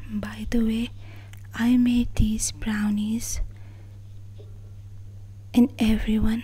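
A woman speaks softly with a gentle tone. Noticeable background noise runs behind her. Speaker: daughter of the channel owner, social media handler and video editor. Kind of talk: casual talk to camera, soft-spoken thank-you message. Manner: soft-spoken, gentle.

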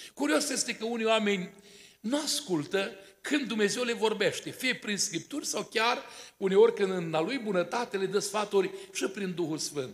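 A man speaks at high pitch with lively intonation. His pace is moderate. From Romania, Botoșani county; Romania. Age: 60s. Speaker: pastor; preacher at wedding. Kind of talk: sermon. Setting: church. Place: church. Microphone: podium.

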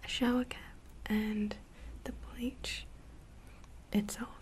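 A woman is talking, with light background noise behind her. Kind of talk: soft-spoken roleplay narration. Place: home room.

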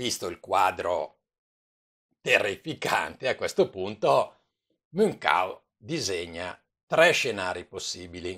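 Against a quiet background, a man speaks at a very slow pace with long, frequent pauses and big swings in loudness. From Italy. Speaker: commentator. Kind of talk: news commentary. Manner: informal; animated, indignant. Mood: calm, sometimes smiling. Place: home room. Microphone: webcam.

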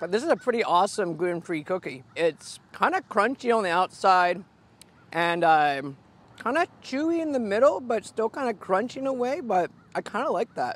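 The sound is dry with no echo as a man talks at a fairly quick pace. His pitch swings very widely. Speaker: food vlogger. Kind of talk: casual food review vlog. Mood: cheerful, playful. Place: open country. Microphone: lapel.

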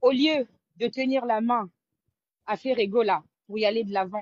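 Speaking at a fairly slow pace against a quiet background, a woman uses ordinary pitch variation. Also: dry sound with no echo. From Congolese, raised in Europe. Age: young. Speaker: caller. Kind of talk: call-in opinion. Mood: animated, admiring. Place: home room. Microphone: video call.

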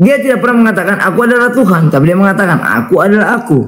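With lively intonation, a man delivers his words at a very fast pace. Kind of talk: interfaith debate. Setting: online live stream.

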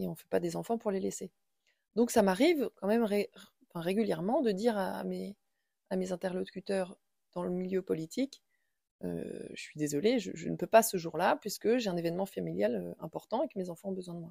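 A woman talks at a fairly quick pace, her loudness swinging widely. The sound is dry and close, with no echo. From central France, Indre-et-Loire. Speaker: schoolteacher and local councillor. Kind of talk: interview. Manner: halting, many hesitations.

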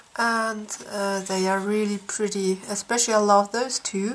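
Her voice fairly high in pitch, a woman speaks at a very slow pace. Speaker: coloring book YouTuber. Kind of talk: casual product flip-through. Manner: halting with many fillers.

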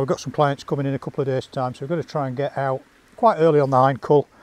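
The recording is dry, with no echo. A man speaks at a very fast pace. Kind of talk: casual vlog chat. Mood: wry, good-humoured. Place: open country.

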